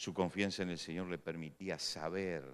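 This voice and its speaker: A man's very deep, low voice with vocal fry, at a fairly slow pace. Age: 60s. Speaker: pastor. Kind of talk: sermon.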